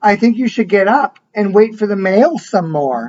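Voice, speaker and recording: A man puts on a character voice, pitched high for a man. He speaks at a moderate pace. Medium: read story. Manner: warm, encouraging.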